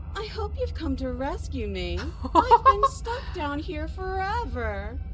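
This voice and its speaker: Loud noise runs behind a put-on character voice that goes at a fairly slow pace. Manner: pleading, eerie.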